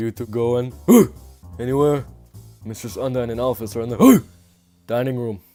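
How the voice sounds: A man uses a gruff, put-on character voice at a medium pitch with fairly even intonation. He keeps a moderate pace with long, frequent pauses, and faint music plays in the background.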